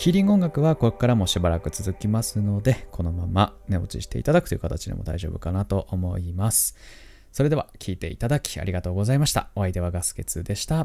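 A man's fairly low, dark and mellow voice at a very fast pace with lively intonation, on a very clean recording with a silent background. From Tohoku, Japan. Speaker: podcast host. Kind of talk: casual monologue. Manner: soft-spoken.

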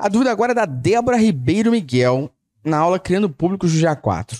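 Animated in tone, a man's voice takes very wide pitch swings. The recording is very clean, with a silent background. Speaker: podcast host, digital analytics educator. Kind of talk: casual chat about analytics, answering questions.

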